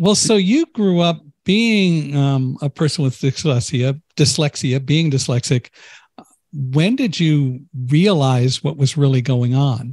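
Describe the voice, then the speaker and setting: A man's somewhat breathy voice at a fairly high pitch and fairly slow pace, very even in loudness, with a dry sound, no echo and a quiet background. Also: ordinary pitch variation. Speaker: podcast host. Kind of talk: interview. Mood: warm, cheerful. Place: home room. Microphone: studio mic.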